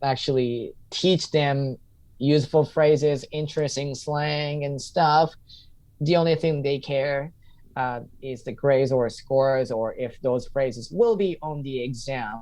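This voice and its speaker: Over a quiet background, a man with a Japanese accent speaks. His fairly high voice moves at a fairly slow pace. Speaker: English teacher and stand-up comedian. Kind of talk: podcast interview. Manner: halting.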